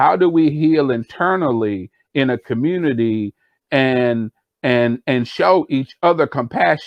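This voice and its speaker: This man talks at a fairly slow pace with a medium pitch and lively intonation. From US Midwest (Rock Island, Illinois). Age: 60s. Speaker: podcast co-host, community healing speaker. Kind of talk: casual discussion. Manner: halting, many fillers and repeats.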